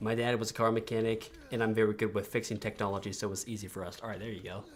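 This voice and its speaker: The words come at a very fast pace and are mumbled. The intonation stays monotone and flat. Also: man, fairly low pitch for a man. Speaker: gaming streamer. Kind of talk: live gameplay stream. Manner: mumbling; halting.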